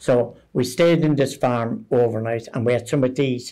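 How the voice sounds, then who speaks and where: The speaker has a dark, mellow tone in a Limerick accent. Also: man. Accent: Irish (Limerick). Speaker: retired army sergeant, UN peacekeeping veteran. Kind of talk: interview answer, war memories.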